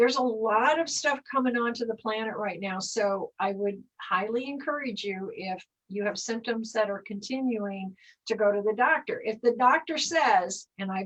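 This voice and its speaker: A woman speaks at a moderate pace with fairly high pitch and ordinary pitch variation. She has an ordinary speaking voice. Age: 60s. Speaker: spiritual talk show co-host. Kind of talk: casual chat. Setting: live stream.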